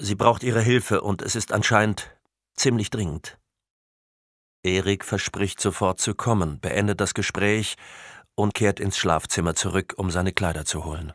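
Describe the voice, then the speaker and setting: Very clean with a silent background, the recording has a dry, close sound with no echo as a man talks with ordinary pitch variation and long, frequent pauses. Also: fairly low pitch for a man, moderate pace. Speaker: audiobook narrator. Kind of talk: audiobook narration, scripted crime thriller read aloud with character voices. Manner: measured, atmospheric, suspenseful.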